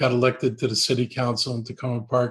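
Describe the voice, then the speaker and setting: The speaker has an American accent and a somewhat breathy voice. Intonation stays fairly even. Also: man. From Washington D.C. area / Maryland, US. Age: 70s. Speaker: politician. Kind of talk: interview.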